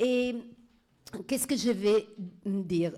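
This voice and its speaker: A woman's medium-pitched voice with a dark, mellow tone and ordinary pitch variation. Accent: Italian. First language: Italian (speaking French). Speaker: law professor. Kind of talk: conference talk. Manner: halting, many hesitations.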